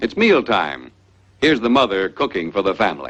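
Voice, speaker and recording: A fairly slow delivery with vocal fry and very wide pitch swings. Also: man. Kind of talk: educational film narration.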